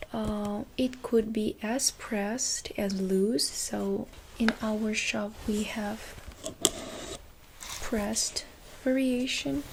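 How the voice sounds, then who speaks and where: A soft-spoken woman whispering at a very slow pace, with long, frequent pauses and noticeable background noise. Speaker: ASMR creator. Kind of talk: ASMR tea shop roleplay. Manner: soft-spoken, whispery, slow.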